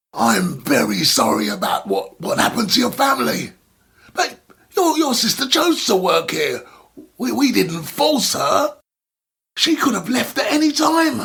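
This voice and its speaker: A man speaks in a put-on character voice at an extremely high pitch. His pace is moderate. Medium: read story. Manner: sighing, hesitant, stammering.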